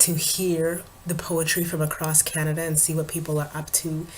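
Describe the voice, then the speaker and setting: A woman with a very deep, low voice and monotone, flat intonation. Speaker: vlogger and spoken word artist. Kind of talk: casual vlog update. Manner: casual, hesitant with fillers.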